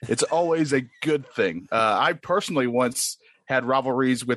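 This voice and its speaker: With an ordinary speaking voice, a man is heard in a dry, close sound with no echo and a quiet background. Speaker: podcast guest and contestant. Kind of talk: casual trivia banter. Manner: boastful, joking.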